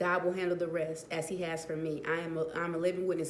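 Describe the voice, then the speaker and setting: In a room with audible echo and noticeable background noise, a woman talks in a monotone, flat delivery at a fairly low pitch. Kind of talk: casual vlog talk. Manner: hesitant, many fillers.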